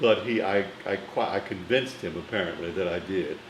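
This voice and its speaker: A man with an American accent talks at a moderate pace. Room echo can be heard. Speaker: film critic. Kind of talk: interview storytelling. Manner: formal.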